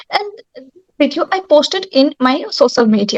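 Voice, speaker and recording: In a Bengali accent, a woman with a high voice speaks at a fairly slow pace with very wide pitch swings, in a dry, close sound with no echo. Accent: Bengali Indian English. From West Bengal, India. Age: young. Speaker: yoga instructor and actor. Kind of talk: panel talk. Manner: halting. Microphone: network problem.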